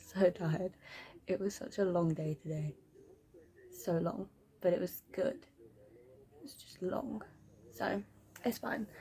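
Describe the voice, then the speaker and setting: Soft-spoken and at a very slow pace, a woman with a medium pitch speaks with very wide pitch swings, big swings in loudness, and long, frequent pauses. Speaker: book vlogger. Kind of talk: casual vlog. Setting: at home at night. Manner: quiet, soft-spoken.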